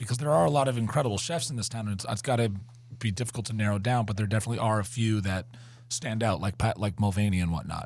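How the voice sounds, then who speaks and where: The voice comes with an American accent and is somewhat breathy. It moves at a very fast pace. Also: man. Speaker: podcast co-host. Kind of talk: casual chat. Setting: studio.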